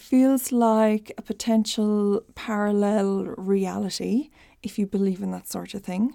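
A woman with an Irish accent speaks fairly slowly in a dark, mellow tone with fairly even intonation, in a very clean recording with a silent background. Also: medium pitch for a woman, big swings in loudness. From rural Ireland. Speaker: podcast host, psychic and spiritual teacher. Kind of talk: solo podcast monologue, confessional and casual.

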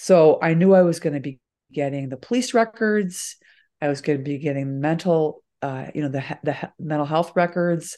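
A woman with an American accent, very deep and low in pitch, dark and mellow in tone, with ordinary pitch variation at a moderate pace against a quiet background. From suburban Chicago, US Midwest. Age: 60s. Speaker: author and journalist. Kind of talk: interview conversation about memoir.

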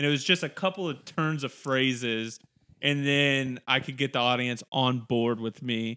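Speaking at a moderate pace, a man has a normal speaking voice at a medium pitch with ordinary pitch variation. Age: 20s. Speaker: stand-up comedian. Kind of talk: casual chat.

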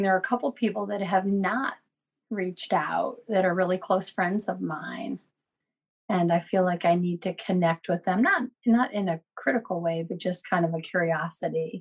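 This woman talks at a moderate pace in a somewhat breathy, medium-pitched voice with ordinary pitch variation. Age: 50s. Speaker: caller with cancer diagnosis. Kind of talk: personal testimony in coaching call. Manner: hesitant with fillers.

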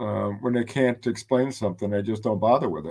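A man speaks in a normal speaking voice, fairly low in pitch with ordinary pitch variation and a fairly quick pace. The recording is very clean, with a silent background. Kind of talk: interview.

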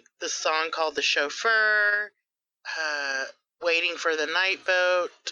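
Against a quiet background, a woman with an American accent speaks very slowly in a fairly low pitch, her tone bright and sharp, with ordinary pitch variation. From South Texas (Rio Grande Valley). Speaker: office worker and aspiring comedian. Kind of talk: casual chat.

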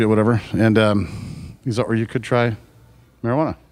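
A man with a plain, everyday voice, fairly low in pitch, at a fairly quick pace. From Southern California, Fullerton. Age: 50s. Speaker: rock drummer. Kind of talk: casual chat.

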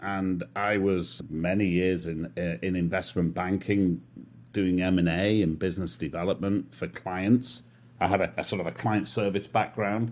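Very deep and low, a man's voice comes with a British accent. He keeps a moderate pace with ordinary pitch variation. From Manchester, England. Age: 50s. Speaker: sales coach. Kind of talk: casual chat.

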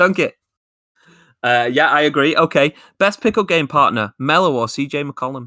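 On a very clean recording with a silent background and a dry, close sound with no echo, a man with a fairly high, bright, sharp voice talks at a moderate pace with ordinary pitch variation and long, frequent pauses. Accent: Lancashire. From Lancashire, northern England. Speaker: podcast co-host. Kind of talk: casual chat.

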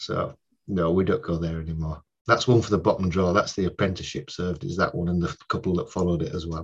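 Somewhat breathy speech rushes by at a very fast pace against a quiet background. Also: man, very deep, low pitch for a man, ordinary pitch variation. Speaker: crime novelist and crime scene investigator. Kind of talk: casual interview chat.

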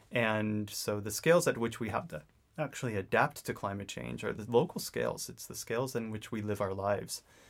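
Here a man with an American accent speaks at a fairly low pitch and a moderate pace. His pitch varies in an ordinary way, and the recording is very clean with a silent background. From New England, US. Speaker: climate scientist. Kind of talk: interview. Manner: halting, many fillers.

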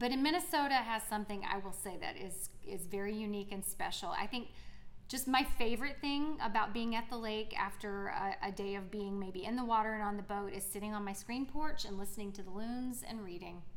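Fairly quick speech in an American accent with ordinary pitch variation, plus audible room echo and noticeable background noise. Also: woman, fairly high pitch for a woman. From South Carolina. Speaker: theater teacher and actor. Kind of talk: casual interview.

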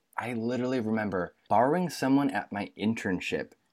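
A man talks in an unremarkable speaking voice at medium pitch and moderate pace. The recording is very clean, with a silent background. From Michigan. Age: 20s. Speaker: actor and comedian. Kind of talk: casual chat.

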